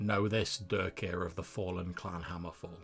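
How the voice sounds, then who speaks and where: A man's put-on character voice, very deep and low, at a moderate pace with hissing and clear music in the background. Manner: ominous.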